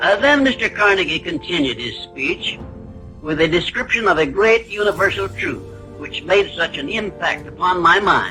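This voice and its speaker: Lively intonation with an American accent at a moderate pace, music in the background. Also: man, high pitch for a man. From United States. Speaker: self-help author. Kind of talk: motivational lecture.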